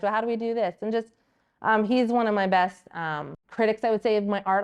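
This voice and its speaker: Against a quiet background, a woman talks at a very fast pace in an animated tone, her pitch medium. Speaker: artist and small business owner. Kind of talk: casual interview chat. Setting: art studio. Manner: loud.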